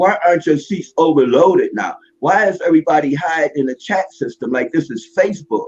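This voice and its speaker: Music plays behind a man speaking at a high pitch with ordinary pitch variation. He goes at a fairly quick pace with hardly any pauses. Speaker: live stream participant. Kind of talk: casual discussion. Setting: live video stream.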